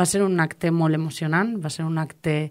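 Against a quiet background, a woman speaks at a moderate pace in a very deep, low voice. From Valencian Community, Castelló coast (Alcalà de Xivert); Valencian Community. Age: 20s. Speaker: politician. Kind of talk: interview. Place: studio.

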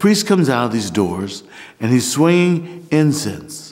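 The intonation is lively. The speaker has an American accent. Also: man. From Missouri, US. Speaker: Orthodox priest. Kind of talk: documentary interview, personal story. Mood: warm, reflective, animated. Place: church.

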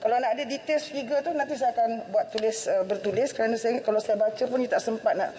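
Over light background noise, a woman speaks very fast at a fairly high pitch. Her intonation is lively, and her loudness stays very even. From Malaysia. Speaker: government minister. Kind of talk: parliamentary answer. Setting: parliament chamber. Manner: halting, many fillers. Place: hall. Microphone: podium.

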